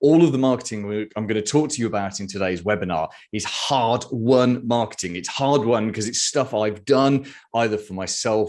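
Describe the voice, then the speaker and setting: A man speaks with a British accent at a fairly low pitch. The background is quiet. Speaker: marketing consultant. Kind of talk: webinar presentation. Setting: video webinar.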